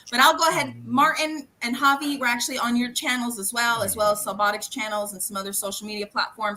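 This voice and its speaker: Amid noticeable background noise, a woman speaks very fast in a high pitch and an animated tone, with hardly any pauses, big swings in loudness and ordinary pitch variation. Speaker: live stream host, event organizer. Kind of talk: casual live video call.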